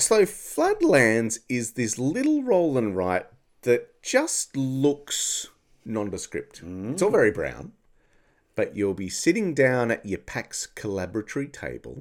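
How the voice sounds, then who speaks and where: At a fairly slow pace, a man with an Australian accent talks in a very clean recording with a silent background. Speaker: podcast co-host. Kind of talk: casual chat. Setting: studio.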